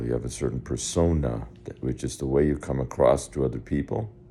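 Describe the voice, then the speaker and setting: A man talks at a very fast pace with a very deep, low pitch and vocal fry. His tone is dark and mellow, with ordinary pitch variation. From US, Spanish-speaking immigrant family. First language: Spanish. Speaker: personal development consultant. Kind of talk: video lesson monologue. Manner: halting, with false starts.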